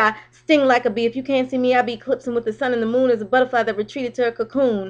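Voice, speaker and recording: A woman with a high voice talks at a very fast pace with fairly even intonation. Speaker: poet and vlogger. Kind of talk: spoken word poetry; casual vlog. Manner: halting, stumbling over words.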